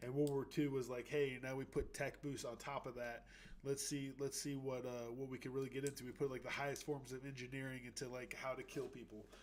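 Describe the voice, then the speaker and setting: A man at medium pitch talks at a fairly quick pace with hardly any pauses. His intonation is monotone and flat. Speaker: livestream host. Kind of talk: educational livestream talk. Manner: fast; halting, many fillers.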